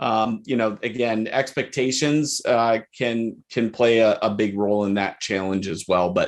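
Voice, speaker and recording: With a Michigan accent, a man talks at a fairly slow pace and medium pitch. His pitch variation is ordinary, and the background is quiet. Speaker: chief appraiser. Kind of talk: podcast interview.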